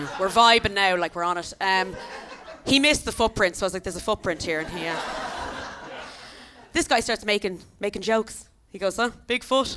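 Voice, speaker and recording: Over noticeable background noise, a woman with an Irish accent talks at a medium pitch and a fairly quick pace, animated in tone with ordinary pitch variation and long, frequent pauses. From Ireland. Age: 30s. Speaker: comedian. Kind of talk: stand-up. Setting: stage with audience.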